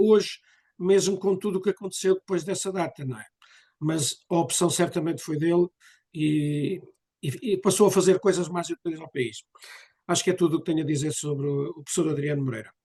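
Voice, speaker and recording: A high-pitched man's voice with ordinary pitch variation at a fairly quick pace. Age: 70s. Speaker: association member speaking at a cultural session. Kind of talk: public talk at a commemorative session. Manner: hesitant, with fillers.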